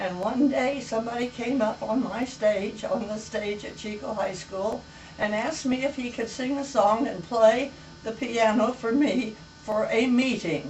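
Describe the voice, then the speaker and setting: Speaking at a fairly slow pace with an American accent, a woman with a fairly high pitch and ordinary pitch variation is heard over noticeable background noise and audible room echo. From US West. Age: 90s. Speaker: elderly storyteller. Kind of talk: casual chat.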